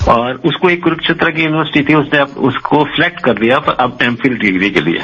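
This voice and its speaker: A man's fairly high voice at a moderate pace, lively in intonation and very even in loudness, with noticeable background noise. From Delhi, India. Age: 70s. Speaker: retired writer and poet. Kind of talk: radio phone interview. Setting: phone call. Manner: halting, many fillers.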